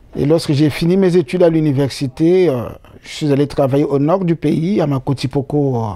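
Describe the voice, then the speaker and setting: A man speaks at a moderate pace in a fairly high pitch, his tone dark and mellow, with ordinary pitch variation. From Republic of the Congo, Brazzaville region. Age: 60s. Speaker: interviewee. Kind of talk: interview. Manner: hesitant with many fillers.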